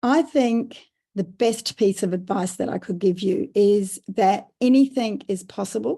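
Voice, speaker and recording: A somewhat breathy woman's voice with a dark, mellow tone, in an Australian accent. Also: medium pitch for a woman, ordinary pitch variation, fairly slow pace. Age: 60s. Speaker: business founder and carer advocate. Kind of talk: podcast interview.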